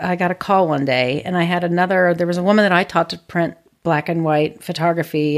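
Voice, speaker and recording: A woman has a plain, everyday voice with fairly low pitch and fairly even intonation. She talks at a fairly quick pace with hardly any pauses. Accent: American. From US Midwest, Ohio. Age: 50s. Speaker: photographer and teacher. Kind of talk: casual interview. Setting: at home.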